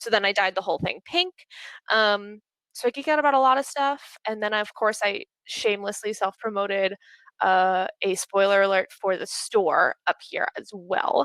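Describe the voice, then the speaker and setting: A woman speaks at a medium pitch with an American accent. Her pitch varies in an ordinary way, and the sound is dry and close with no echo. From Pittsburgh, Pennsylvania, US. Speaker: speaker at a community talk event, recruiter and gamer. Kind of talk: presentation talk. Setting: video call. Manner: fast; animated.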